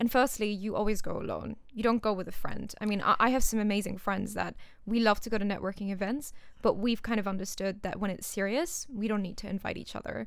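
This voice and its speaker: A woman's fairly high voice at a very fast pace. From Singapore. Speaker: startup founder. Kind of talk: interview. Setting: studio.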